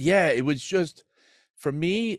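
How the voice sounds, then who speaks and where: In a New Jersey accent, a man talks at a fairly slow pace with very wide pitch swings. The recording is very clean, with a silent background. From New Jersey, NYC area. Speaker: recovery podcast host, former prisoner. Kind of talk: personal testimony in interview.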